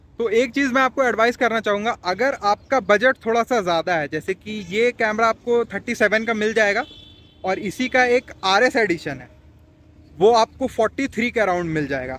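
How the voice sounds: The voice moves at a moderate pace, with ordinary pitch variation and a fairly bright tone. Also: man, high pitch for a man.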